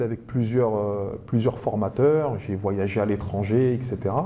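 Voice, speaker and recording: This man speaks at a moderate pace with fairly even intonation. His tone is dark and mellow. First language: Arabic (speaking French). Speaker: teacher and speed-reading trainer, author. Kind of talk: public talk to an audience.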